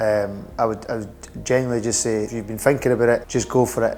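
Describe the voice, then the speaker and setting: With a Scottish accent, a man talks at a very fast pace against noticeable background noise. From Edinburgh, Scotland. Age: 20s. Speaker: hair transplant patient. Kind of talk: patient testimonial interview answer. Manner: hesitant, casual.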